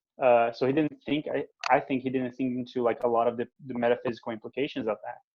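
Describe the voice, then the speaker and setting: A man with a Portuguese accent speaks at a very fast pace in a medium pitch, his intonation monotone and flat. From Brazil. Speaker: theologian. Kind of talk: interview. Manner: halting.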